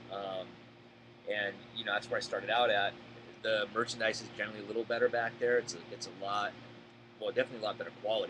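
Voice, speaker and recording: Talking very fast yet with long, frequent pauses, a man at medium pitch with an American accent keeps a monotone, flat intonation over noticeable background noise. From Boston area, Massachusetts. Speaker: storage auction buyer. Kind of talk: live Q&A. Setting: live stream.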